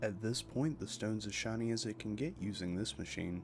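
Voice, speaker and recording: A man's fairly low voice at a fairly quick pace, with music in the background. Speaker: lapidary hobbyist / gem cutter. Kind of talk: relaxing instructional narration. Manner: soft-spoken, calm.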